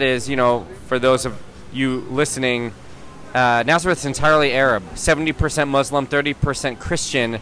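A man speaks at a fairly quick pace and a fairly high pitch, with fairly even intonation. Music plays in the background. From US, San Mateo California, Iranian family. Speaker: muralist and activist. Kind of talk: interview. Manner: hesitant, many fillers.

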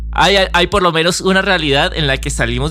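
A man speaks over noticeable background noise. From Colombia. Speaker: podcast host and musician. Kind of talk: casual conversation.

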